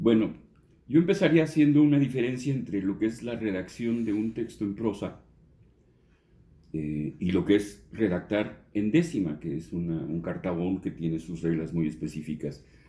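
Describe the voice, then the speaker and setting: This man has a fairly low, dark, mellow voice with very wide pitch swings. He talks at a moderate pace. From Mexico City. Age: 60s. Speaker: journalist and songwriter. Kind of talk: interview. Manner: halting, with many fillers.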